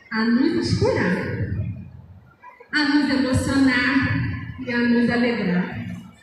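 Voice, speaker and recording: Very slow speech comes through strong room echo. Noticeable background noise is also present. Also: woman. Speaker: presenter. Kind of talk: stage announcement. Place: stage. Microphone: pa.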